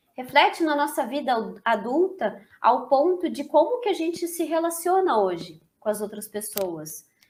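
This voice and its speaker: This woman's high-pitched voice sounds energetic, with very wide pitch swings, a fairly slow pace and hardly any pauses. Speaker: therapist and course instructor. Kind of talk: lecture. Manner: talkative, energetic.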